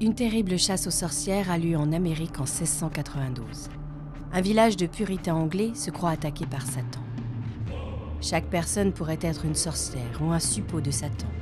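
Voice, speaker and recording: Music plays behind a woman with a very deep, low pitch. She speaks at a moderate pace with lively intonation. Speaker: voice actor. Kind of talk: documentary narration.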